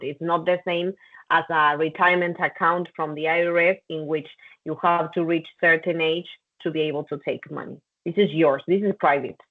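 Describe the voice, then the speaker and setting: Speaking at a fairly quick pace, a woman with a fairly low pitch talks in a Spanish accent. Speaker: compliance trainer. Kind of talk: training session.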